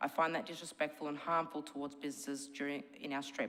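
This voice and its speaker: A woman speaks at a very fast pace in an Australian accent. Her pitch is very deep and low. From Melbourne, Australia. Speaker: shop owner speaking at council meeting. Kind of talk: public submission read from notes.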